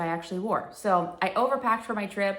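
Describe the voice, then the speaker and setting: Audible room echo surrounds a woman speaking at a fairly quick pace. Her medium pitch shows ordinary variation. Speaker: sewing vlogger. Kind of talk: casual chat. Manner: conversational, filler-heavy.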